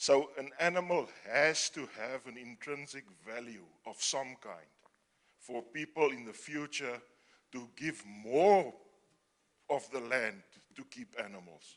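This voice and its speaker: Lively intonation with a non-native accent. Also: man. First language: not English. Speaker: audience member, conservationist. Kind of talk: audience question at panel. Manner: halting.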